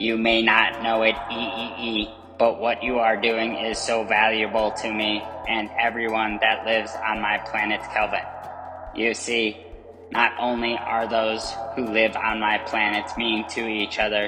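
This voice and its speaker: A cartoonish character voice, low in pitch, delivers monotone, flat intonation. Clear background noise runs underneath. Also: moderate pace. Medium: puppet. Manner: gentle, encouraging.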